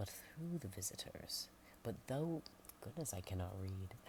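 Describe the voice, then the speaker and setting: A woman is whispering. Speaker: ASMR creator. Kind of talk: ASMR book narration. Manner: soft-spoken.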